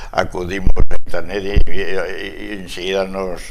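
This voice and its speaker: There is noticeable background noise behind this recording. Over it, a man talks with lively intonation. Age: 80s. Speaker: older guest sharing memories. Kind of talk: casual TV chat. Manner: halting, repetitive.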